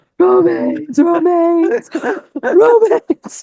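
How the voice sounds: In a put-on character voice, someone speaks at a very slow pace with extremely high pitch.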